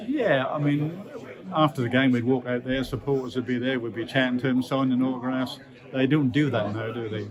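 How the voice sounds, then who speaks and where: A man at medium pitch, fairly quick in pace, with fairly even intonation and noticeable background noise. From Norwich, England. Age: 70s. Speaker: retired professional footballer. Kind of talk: interview answer. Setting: event venue. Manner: casual, reminiscing.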